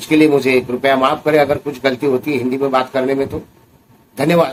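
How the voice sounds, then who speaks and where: The man's fairly high voice holds a flat, monotone intonation. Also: moderate pace. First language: Marathi (speaking Hindi). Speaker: recovering addict and addiction recovery vlogger. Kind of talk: personal testimony vlog.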